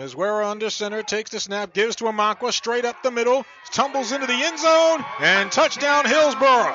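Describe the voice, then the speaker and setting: Over background music in a dry, echo-free sound, a man with an extremely high pitch speaks at a fairly quick pace with ordinary pitch variation and hardly any pauses. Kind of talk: live sports commentary. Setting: high school football game broadcast, radio highlights. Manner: clipped, matter-of-fact calls between plays.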